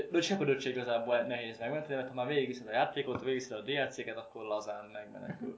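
Noticeable background noise runs under this recording. A man at medium pitch talks at a very fast pace. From Szeged, southern Hungary. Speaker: podcast co-host, gamer. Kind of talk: casual chat. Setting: home kitchen.

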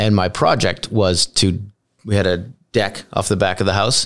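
Recorded very cleanly against a silent background, a man speaks in a normal speaking voice, fairly low in pitch, at a moderate pace. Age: 40s. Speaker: podcast host. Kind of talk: interview conversation.

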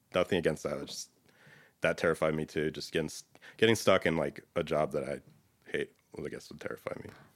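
A man with a very deep, low pitch and vocal fry talks at a very fast pace, his intonation fairly even but his loudness swinging widely, broken by long, frequent pauses. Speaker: data consultant. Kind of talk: casual interview. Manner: laid back.

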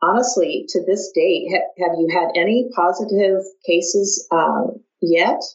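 Speaking at a fairly slow pace, a woman with a Midwestern American accent uses ordinary pitch variation. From US Midwest. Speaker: podcast host, clinical services director. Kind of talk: interview.

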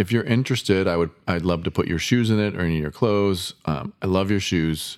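In a normal speaking voice, a man with an American accent talks at a fairly quick pace, his fairly low pitch showing ordinary variation, on a very clean recording with a silent background. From US Midwest. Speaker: painter. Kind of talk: casual chat.

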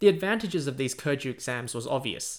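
Speaking with an Australian accent, a man moves at a moderate pace with very wide pitch swings. The recording is very clean, with a silent background. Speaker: history podcaster. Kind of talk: scripted narration. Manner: animated.

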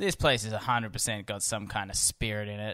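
A man's playful, bright and sharp tone at a fairly quick pace, in a very clean recording with a silent background and a dry, close sound with no echo. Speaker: podcast host. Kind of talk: casual banter podcast. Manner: joking, playful.

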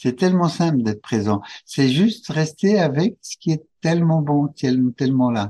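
A man speaks at a very slow pace in a dark, mellow tone with lively intonation and a somewhat breathy quality. The sound is dry and close, with no echo. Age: 70s. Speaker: couples retreat facilitator. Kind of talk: interview. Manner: halting.

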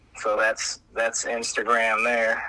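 This man speaks fairly slowly while noticeable background noise carries on. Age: 40s. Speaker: clothing brand founder. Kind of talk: casual chat.

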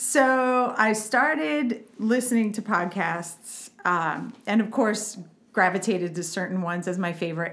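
Using a plain, everyday voice, a woman speaks at a fairly slow pace and a medium pitch with lively intonation. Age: 40s. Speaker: parenting coach. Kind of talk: casual chat.

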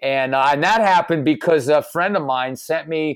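With an American accent and an unremarkable speaking voice, a man with fairly high pitch talks fairly slowly and with lively intonation. The recording is very clean, the background silent. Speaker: caricature artist. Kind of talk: casual interview chat.

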